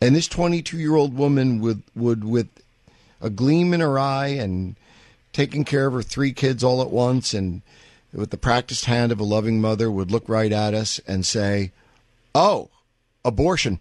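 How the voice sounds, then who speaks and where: The speaker has a plain, everyday voice with an American accent. The pace is moderate, and the pitch varies in an ordinary way. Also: man, medium pitch for a man. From US Northeast, Manhattan. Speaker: talk radio host. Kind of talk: call-in talk radio. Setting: studio.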